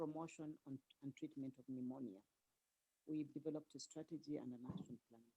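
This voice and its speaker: A soft-spoken woman with a very deep, low pitch, a dark, mellow tone, ordinary pitch variation, a fairly quick pace and big swings in loudness. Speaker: health ministry official, doctor. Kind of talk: panel presentation. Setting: video call. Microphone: too quiet.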